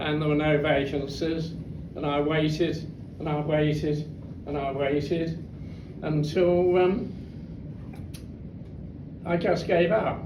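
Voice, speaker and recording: A man with a British accent, fairly high-pitched for a man, at a very slow pace with long, frequent pauses, monotone and flat in intonation, over noticeable background noise. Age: 80s+. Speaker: war veteran. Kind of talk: talk to an audience. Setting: club hall.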